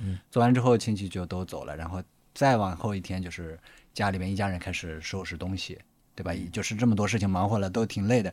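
A man talks at a very fast pace. His very deep, low voice keeps fairly even intonation. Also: very clean recording, silent background. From Gansu, northwest China. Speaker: documentary director. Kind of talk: casual chat.

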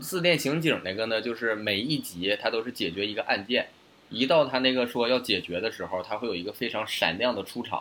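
A man talks at a fairly quick pace in a medium pitch. His tone is bright and sharp, and his intonation lively. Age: late 20s. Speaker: podcast co-host. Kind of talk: casual chat. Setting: online remote recording.

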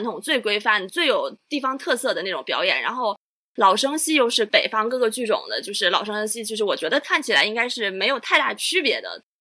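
The voice moves at a fairly quick pace, bright and sharp in tone, with lively intonation. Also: woman. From Chaozhou, Guangdong. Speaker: Chinese opera enthusiast guest. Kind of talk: casual chat.

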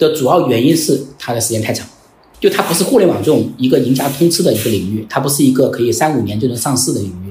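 A man at medium pitch, very fast pace and lively intonation. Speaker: company founder. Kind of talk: interview conversation.

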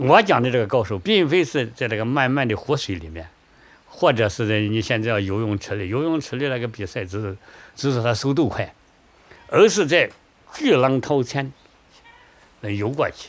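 The speech moves at a moderate pace with lively intonation. Long pauses come often. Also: man, medium pitch for a man. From southern Shaanxi (Yang County, Huangjin Gorge). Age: 60s. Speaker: retired river boatman. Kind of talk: interview testimony.

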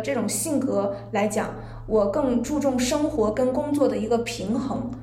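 The voice shows ordinary variation in pitch, and noticeable noise can be heard behind it. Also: woman. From Zhangjiakou, Hebei. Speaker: guest. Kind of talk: casual chat. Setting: recorded in a tea room.

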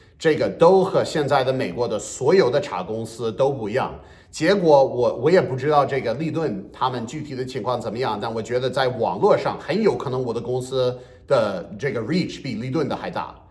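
The man's intonation is lively at a medium pitch and a moderate pace. There is audible room echo. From US Northeast. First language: English (speaking Chinese). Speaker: bilingual comedian. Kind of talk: podcast interview.

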